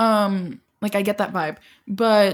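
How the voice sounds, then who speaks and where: The voice belongs to a woman and is somewhat breathy. It sits at a medium pitch. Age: 20s. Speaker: podcast co-host. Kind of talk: casual chat. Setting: construction noise nearby. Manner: animated.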